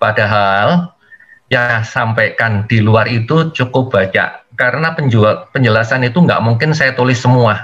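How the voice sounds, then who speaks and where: Speaking in an East Javanese accent, a man with a medium pitch talks at a fairly slow pace with lively intonation. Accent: East Javanese speaking style, fairly blunt. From East Java, Indonesia (Malang). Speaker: engineering instructor, workshop speaker. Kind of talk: webinar lecture. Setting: video call webinar.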